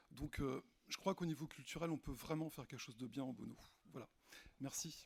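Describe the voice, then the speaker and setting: The delivery moves at a fairly quick pace and sounds somewhat breathy. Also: man, fairly high pitch for a man, ordinary pitch variation. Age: 50s. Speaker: municipal election candidate. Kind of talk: candidate self-introduction.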